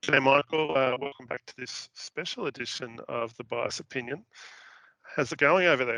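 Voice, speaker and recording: A man talks at a medium pitch with ordinary pitch variation. His tone is bright and sharp, and the sound is dry and close with no echo. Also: moderate pace. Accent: Australian. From Australia. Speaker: show host. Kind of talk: casual interview chat.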